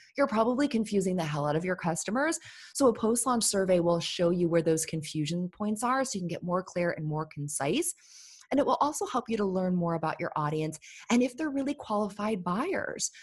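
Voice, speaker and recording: In a very clean recording with a silent background, a woman with a medium, somewhat breathy voice talks fairly quickly in an animated tone, her pitch swinging very widely. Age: 30s. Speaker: entrepreneur and business coach. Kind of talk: podcast interview.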